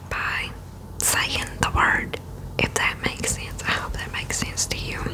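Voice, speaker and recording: A woman is whispering at a fairly slow pace. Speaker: bible reading host. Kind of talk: soft-spoken scripture reading and explanation. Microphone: studio mic.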